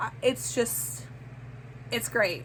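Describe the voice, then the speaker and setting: The speaker is a woman. She talks in an animated tone. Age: 30s. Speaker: book vlogger. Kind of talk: casual chat. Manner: halting.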